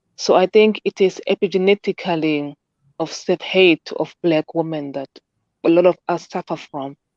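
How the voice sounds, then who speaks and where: A woman's fairly low voice with a non-native accent and fairly even intonation. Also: moderate pace, quiet background. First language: not English. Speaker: caller. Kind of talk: casual discussion. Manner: halting.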